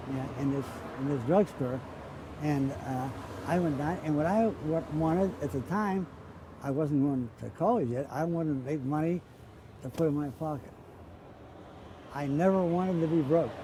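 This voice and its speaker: A man in a Pittsburgh accent, with long, frequent pauses. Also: fairly high pitch for a man, ordinary pitch variation, moderate pace. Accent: western Pennsylvania (Pittsburgh). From Pittsburgh, Pennsylvania, US. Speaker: interviewee recalling childhood. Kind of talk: oral history interview. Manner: halting, repeats words.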